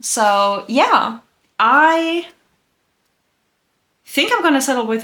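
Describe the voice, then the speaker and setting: In a very clean recording with a silent background, a woman with a German accent has a bright, sharp tone and very wide pitch swings. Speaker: booktuber. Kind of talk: casual vlog chat. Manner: casual, filler-heavy.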